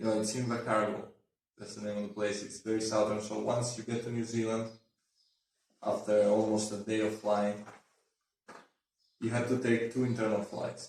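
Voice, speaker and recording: A man talks at a fairly quick pace with long, frequent pauses. His fairly low voice is monotone and flat, with audible room echo. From Italy, Puglia. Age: 20s. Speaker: law student. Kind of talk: casual chat.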